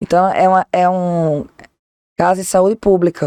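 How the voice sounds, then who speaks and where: A woman with a Pernambuco accent, fairly low in pitch with a dark, mellow tone, at a fairly slow pace. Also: dry, close sound with no echo. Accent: Northeastern Brazilian (Pernambuco). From Northeast Brazil, Recife, Pernambuco. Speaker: lawyer, political law specialist. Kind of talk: podcast interview. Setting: studio.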